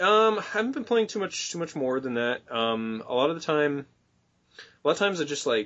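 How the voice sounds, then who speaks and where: A man with a fairly high pitch talks at a fairly quick pace, his voice making very wide pitch swings. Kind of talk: casual podcast conversation. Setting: low-quality recording.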